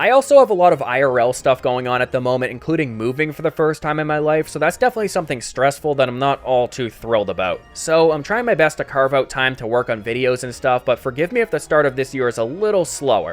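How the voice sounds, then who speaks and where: A man's fairly high voice at a very fast pace, lively in intonation, with hardly any pauses and music in the background. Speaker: gaming youtuber. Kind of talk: scripted narration. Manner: quieter than usual.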